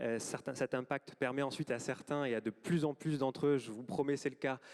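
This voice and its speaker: At a fairly quick pace, a man speaks at a medium pitch with fairly even intonation in a dry, close sound with no echo. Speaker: government health official. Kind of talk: closing speech. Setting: auditorium with audience. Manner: fast; hesitant, many fillers.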